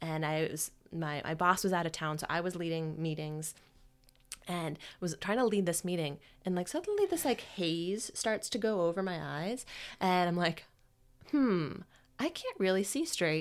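A woman speaks at a moderate pace with fairly low pitch and ordinary pitch variation. Hers is an unremarkable speaking voice. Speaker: podcast host and career coach. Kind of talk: casual chat, personal storytelling.

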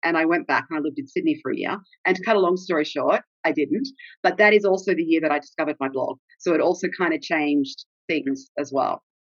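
Talking very fast with an Australian accent, a woman has a fairly low pitch and ordinary pitch variation. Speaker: travel blogger. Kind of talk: casual interview chat.

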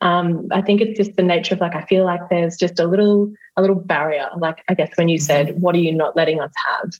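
Speaking at a very fast pace, a woman has an Australian accent. Her intonation stays fairly even. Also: fairly low pitch for a woman, hardly any pauses. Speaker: hypnotherapist. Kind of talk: coaching session. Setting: video call.

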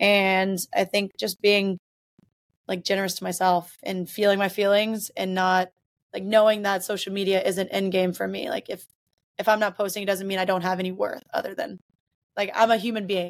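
Speaking with an American accent, a woman keeps a moderate pace and medium pitch. The recording is very clean with a silent background. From US South, Mississippi. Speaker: hockey coach and former professional player. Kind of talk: interview. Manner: animated.

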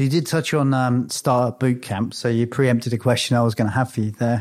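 A man's plain, everyday voice at medium pitch on a very clean recording with a silent background. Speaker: podcast host. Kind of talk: interview.

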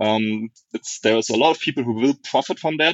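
The speaker has a German accent. The pace is fairly quick. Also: man. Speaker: software architect. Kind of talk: casual interview.

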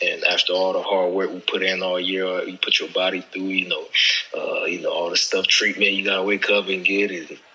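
Noticeable background noise runs under this recording. A man speaks over it at a fairly quick pace. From Haiti, moved to Orlando at 11. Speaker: professional football player. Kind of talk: casual chat.

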